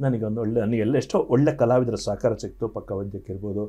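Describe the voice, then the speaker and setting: A man's tone is dark and mellow, and the background stays quiet. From coastal Karnataka, Dakshina Kannada (Sullia); Karnataka. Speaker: singer; guest. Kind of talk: interview. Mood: reflective, animated storytelling. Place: studio. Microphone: lapel.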